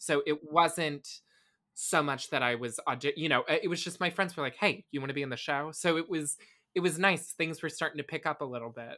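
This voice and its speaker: A bright, sharp tone with an American accent comes through on a very clean recording with a silent background. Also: man. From Tampa, Florida. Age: 20s. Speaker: actor and musician. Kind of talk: interview.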